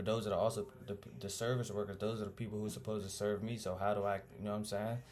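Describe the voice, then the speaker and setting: A man talks very fast in a fairly low-pitched voice. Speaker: student presenter. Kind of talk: casual video presentation. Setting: home recording with music playing. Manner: animated.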